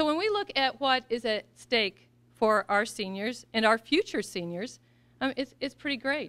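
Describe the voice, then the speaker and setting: Speaking at a moderate pace with an American accent, a woman uses a high pitch, lively intonation and a bright, sharp tone. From US Midwest, Missouri. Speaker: political candidate; candidate. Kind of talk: campaign speech. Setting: event with audience. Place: hall. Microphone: podium.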